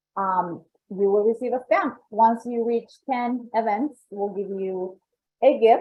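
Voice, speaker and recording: The speaker has a Colombian accent and ordinary pitch variation. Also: woman. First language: Spanish. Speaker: membership coordinator. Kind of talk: presentation. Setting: online event.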